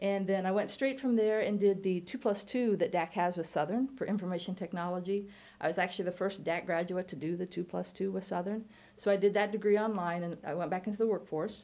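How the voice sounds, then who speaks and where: A woman with an American accent speaks at a very fast pace in a medium pitch, her dark, mellow tone and fairly even intonation set against a quiet background. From Illinois. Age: 50s. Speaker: college computer science teacher. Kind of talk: casual interview.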